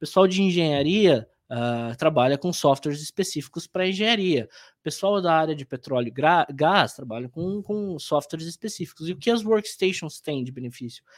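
A man's normal speaking voice, fairly high in pitch, at a moderate pace with lively intonation and hardly any pauses. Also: very clean recording, silent background. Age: 30s. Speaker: IT business development manager. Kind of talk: interview.

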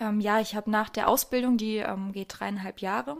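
A woman with a normal speaking voice talks at a moderate pace, her fairly high pitch showing ordinary pitch variation. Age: 20s. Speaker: goldsmith. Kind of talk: interview. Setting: workshop.

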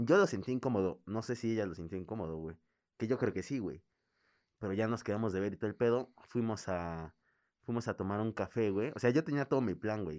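In a quiet background, a man with a fairly low voice speaks at a fairly quick pace, showing ordinary pitch variation. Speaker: podcast co-host. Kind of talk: casual chat. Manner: animated.

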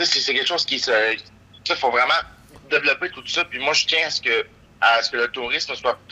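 A man at a moderate pace, with noticeable noise behind him. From Quebec, Gaspésie. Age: 20s. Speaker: local politician. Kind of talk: interview. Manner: halting, many repetitions.

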